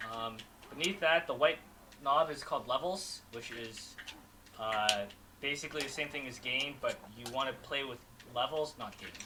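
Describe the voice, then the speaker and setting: A man talks at a moderate pace in a fairly high pitch with ordinary pitch variation and big swings in loudness. Long, frequent pauses break his speech over noticeable background noise. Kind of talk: casual chat. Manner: halting.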